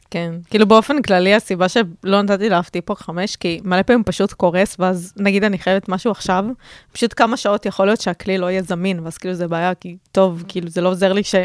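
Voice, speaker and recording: A woman with a medium pitch talks at a very fast pace with hardly any pauses and fairly even intonation, in a dry, close recording with no echo and a silent background that is very clean. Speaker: podcast co-host, marketing worker and student. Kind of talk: casual chat.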